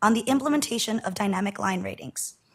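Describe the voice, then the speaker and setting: Her voice is fairly high and somewhat breathy as a woman speaks at a fairly quick pace. The pitch varies in an ordinary way. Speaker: utility regulator staff presenter. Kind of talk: formal presentation at board meeting. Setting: public board meeting. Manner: formal.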